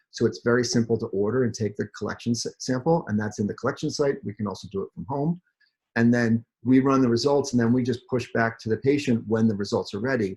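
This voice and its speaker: Somewhat breathy, a man speaks at a very fast pace and medium pitch with ordinary pitch variation. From New Jersey. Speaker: chief product officer at a health company. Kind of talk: webinar presentation. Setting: video call.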